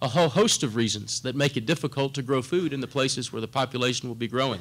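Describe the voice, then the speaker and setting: On a very clean recording with a silent background, a man with a South Texas accent talks at a very fast pace and fairly high pitch with ordinary pitch variation. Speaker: corporate government relations director. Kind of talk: conference presentation.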